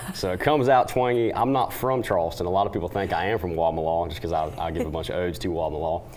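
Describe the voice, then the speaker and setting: A very deep, low-pitched man's voice in a Southern US accent, very fast with hardly any pauses and lively intonation, over noticeable background noise. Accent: Southern twang. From western North Carolina. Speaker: country singer. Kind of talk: TV interview.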